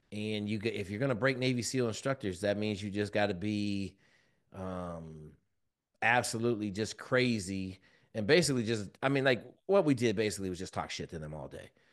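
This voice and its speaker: Speaking at a fairly quick pace over a quiet background, a man uses a fairly low voice with ordinary pitch variation. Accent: American. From Washington State, US. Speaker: former Navy SEAL, leadership mentor. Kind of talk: podcast interview. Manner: loud.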